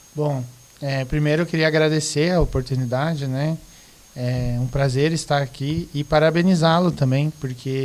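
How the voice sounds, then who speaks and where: A man with a Rio Grande do Sul accent, fairly high pitch, fairly even intonation and a fairly slow pace. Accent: southern Brazilian (gaúcho), clear. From Rio Grande do Sul, southern Brazil. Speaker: teacher, guest. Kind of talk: casual podcast discussion.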